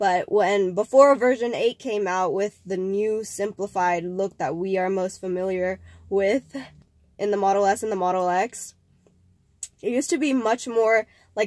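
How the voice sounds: A woman speaks at a fairly slow pace and a medium pitch. Her tone is slightly mellow and nasal, with ordinary pitch variation.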